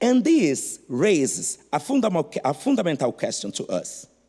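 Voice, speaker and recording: A man with a non-native accent speaks at a fairly slow pace in a high voice whose pitch swings very widely. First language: not English. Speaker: art historian. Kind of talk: conference talk.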